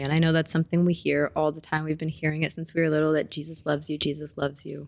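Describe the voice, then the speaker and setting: A woman with an American accent talks at a very fast pace in a very deep, low pitch with a dark, mellow tone. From US Midwest (Springfield, Missouri). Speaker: student, former ministry intern. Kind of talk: casual interview testimony.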